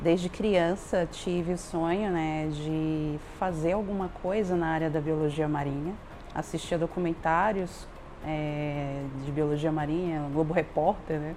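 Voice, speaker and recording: Amid audible room echo, a woman with a very deep, low voice speaks fairly slowly with fairly even intonation. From Belém, Pará, Brazil. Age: 40s. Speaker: professor and researcher. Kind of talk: testimony.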